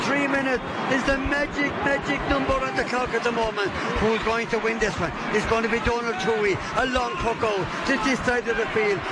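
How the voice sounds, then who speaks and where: Over loud background noise, a man talks at a fairly quick pace in a dry recording with no echo. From Ireland. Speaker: radio sports commentator. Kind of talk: live sports commentary. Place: booth.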